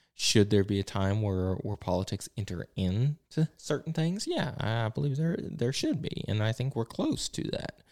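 A man of medium pitch with an Appalachian accent, very wide pitch swings and hardly any pauses, dry and close with no echo on a very clean recording with a silent background. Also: moderate pace. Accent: Appalachian Southern US. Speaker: pastor and podcast host. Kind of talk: casual chat. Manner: informal, off the cuff with many fillers.

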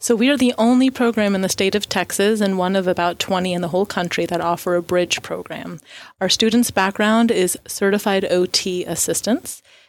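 A woman with an American accent has a normal speaking voice at medium pitch with ordinary pitch variation, in a very clean recording with a silent background. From Florida. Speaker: occupational therapy professor. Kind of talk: radio interview.

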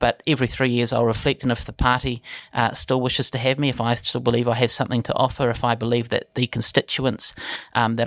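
A man with a New Zealand accent talks very fast at a medium pitch in a monotone, flat intonation. The recording is very clean, with a silent background and a dry, close sound with no echo. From New Zealand, Palmerston North. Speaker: politician. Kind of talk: interview. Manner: hesitant, many fillers.

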